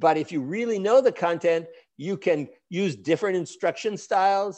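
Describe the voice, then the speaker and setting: A man with an American accent speaks at a high pitch. The background is quiet. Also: ordinary pitch variation. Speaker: education professor and center director. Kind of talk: conference lecture. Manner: fast.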